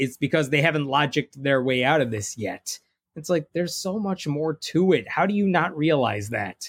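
A man with a fairly high voice speaks at a moderate pace, his intonation lively and somewhat breathy. The sound is dry and close with no echo, on a very clean recording with a silent background. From Indian-American family, raised in Jain religion. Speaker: atheist author and blogger. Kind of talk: casual interview conversation.

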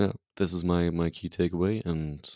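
A very deep, low, dark and mellow man's voice in a German accent, monotone and flat, with a dry, close sound and no echo. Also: very clean recording, silent background. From Germany, Leipzig. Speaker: football podcast host. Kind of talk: casual chat.

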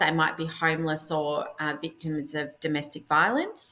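A woman speaks at a fairly slow pace with a very deep, low voice and an Australian accent. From Melbourne, Australia. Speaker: personal stylist. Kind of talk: casual interview chat.

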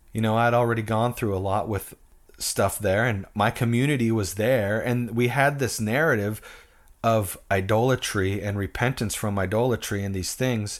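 A man with an American accent, an ordinary speaking voice, medium pitch, fairly even intonation and a moderate pace, on a very clean recording with a silent background. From US Pacific Northwest. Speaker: musician and former pastor. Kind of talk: casual interview chat.

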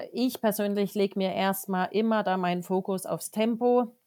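A woman at a medium pitch, speaking at a very slow pace with fairly even intonation. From Germany, Wertheim (Lower Franconia area). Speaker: horse riding trainer. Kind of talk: podcast interview.

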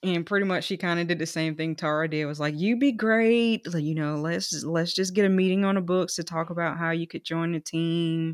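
With an American accent and an ordinary speaking voice, a woman pitched fairly low talks at a fairly quick pace with hardly any pauses and ordinary pitch variation. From rural South Carolina. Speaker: dentist and practice owner. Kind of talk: interview.

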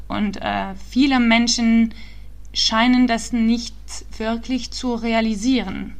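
Audible room echo and noticeable background noise surround a woman talking very slowly. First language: not German (speaking German). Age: 20s. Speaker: startup founder and climate activist. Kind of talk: interview. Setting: remote call. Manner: halting, many fillers.

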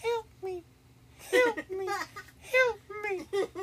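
The voice is a put-on character voice. Its pitch is extremely high. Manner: pleading.

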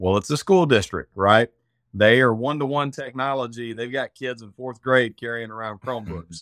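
A man with an Arkansas accent talks at a moderate pace and medium pitch, with ordinary pitch variation and big swings in loudness. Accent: Southern US (Arkansas). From Arkansas, US South. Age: 40s. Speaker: cyber insurance specialist. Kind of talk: casual interview chat. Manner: many filler words (um, uh).

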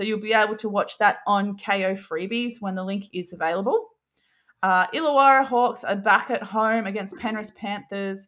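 Speaking with an Australian accent, a woman uses a medium pitch and ordinary pitch variation. Her pace is moderate, and the recording is very clean with a silent background. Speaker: basketball podcast co-host. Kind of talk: casual chat.

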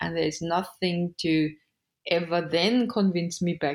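On a very clean recording with a silent background, a woman with a German accent speaks at a fairly slow pace in a fairly low pitch. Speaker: human design reader. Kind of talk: interview conversation about human design.

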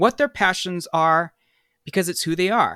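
A man with an American accent speaks at a high pitch with ordinary pitch variation, recorded dry and close with no echo and a silent background on a very clean recording. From US West Coast, San Francisco Bay Area. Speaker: singer-songwriter. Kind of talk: interview.

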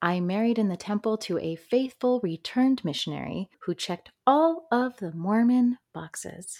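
A woman with an American accent speaks with hardly any pauses in an unremarkable speaking voice, fairly high in pitch with lively intonation. The sound is dry and close with no echo, a very clean recording over a silent background. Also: moderate pace. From upstate New York. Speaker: podcast host. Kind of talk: personal testimony monologue.

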